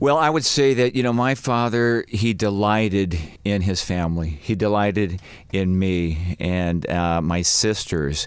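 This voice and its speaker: A man with a fairly low pitch speaks slowly-ish, at a fairly slow pace, using an ordinary speaking voice and ordinary pitch variation. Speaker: family ministry worker. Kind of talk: casual chat.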